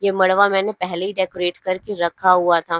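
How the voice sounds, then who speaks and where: A woman speaks in a monotone with flat intonation. Her pitch is medium, and the sound is dry and close with no echo. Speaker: family vlogger. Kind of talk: vlog voiceover narration. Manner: casual, conversational.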